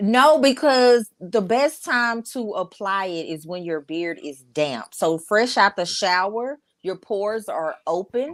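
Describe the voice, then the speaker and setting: A woman with an American accent speaks at a medium pitch and a very slow pace, with very wide pitch swings. She hardly pauses at all. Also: very clean recording, silent background. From Texas, Dallas (Oak Cliff). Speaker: beard care business owner. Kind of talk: casual chat.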